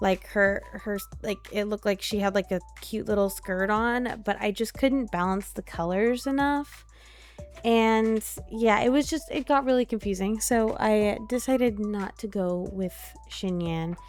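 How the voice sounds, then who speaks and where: Music plays in the background as a woman speaks at a fairly slow pace. Her pitch is medium, with ordinary variation. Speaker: gaming YouTuber. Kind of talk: casual gameplay commentary. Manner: slow with many pauses; hesitant, filler-heavy.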